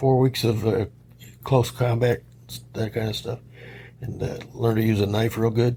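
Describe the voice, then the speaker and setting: With a Midwestern American accent, a man of medium pitch speaks in a monotone, flat intonation at a moderate pace, broken by long, frequent pauses. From Detroit, Michigan. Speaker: Marine Corps Vietnam veteran. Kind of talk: interview answer.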